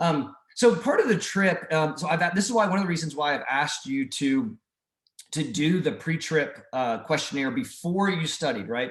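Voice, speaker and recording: A man talks with lively intonation at a fairly high pitch. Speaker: mission trip leader. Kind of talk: group video call briefing. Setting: video call. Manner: fast.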